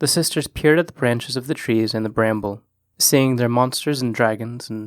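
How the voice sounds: Against a quiet background, a natural reading voice carries ordinary pitch variation.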